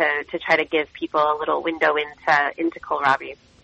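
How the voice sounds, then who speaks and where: A woman with a very deep, low pitch and an American accent, monotone, flat intonation, at a moderate pace. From US Midwest. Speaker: cookbook author and chef. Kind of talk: radio interview.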